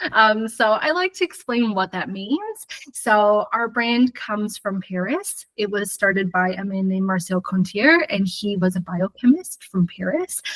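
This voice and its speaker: With an American accent, a woman speaks fairly slowly in a normal speaking voice at medium pitch, with ordinary pitch variation. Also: dry, close sound with no echo. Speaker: hair colour educator. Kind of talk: live webinar presentation.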